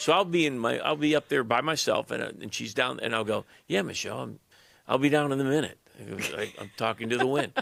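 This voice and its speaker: A man talks at a very fast pace with a medium pitch and vocal fry. His pitch varies in an ordinary way. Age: 60s. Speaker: pastor. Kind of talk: casual chat. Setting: podcast studio.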